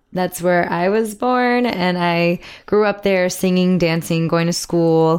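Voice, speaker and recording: A woman with a Miami accent speaks at a fairly slow pace in a fairly low pitch, on a very clean recording with a silent background. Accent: American (Miami). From Miami, Florida, US; Cuban American. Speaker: musical theatre actress. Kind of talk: casual interview chat. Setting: dressing room at a theatre.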